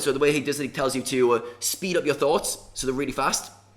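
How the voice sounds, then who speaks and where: Here a man talks at a very fast pace in a fairly high pitch. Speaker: poker mindset coach. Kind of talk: casual video book review.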